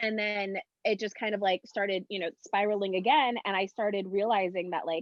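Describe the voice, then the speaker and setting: Speaking at a moderate pace, a woman has an unremarkable speaking voice with a medium pitch. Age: 30s. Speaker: talk show co-host. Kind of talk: casual chat.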